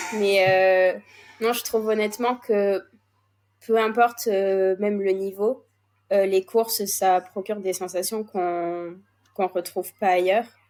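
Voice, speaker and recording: The voice is monotone, with flat intonation. It moves at a fairly slow pace with long, frequent pauses. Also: woman, medium pitch for a woman. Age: 20s. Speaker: racehorse co-owner. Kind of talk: interview.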